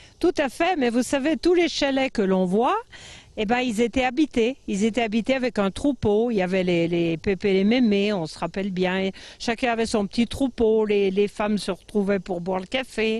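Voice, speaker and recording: A woman speaks with an unremarkable speaking voice at a moderate pace. Her pitch is fairly high and her intonation lively. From French Alps, Tarentaise (Savoie). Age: 60s. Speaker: mountain farmer. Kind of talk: interview. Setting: outdoors.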